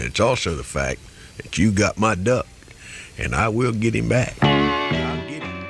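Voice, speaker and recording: A man's playful, fairly low-pitched voice at a fairly slow pace, with music in the background. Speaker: radio DJ. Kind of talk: morning radio show host talk. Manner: playful, comic.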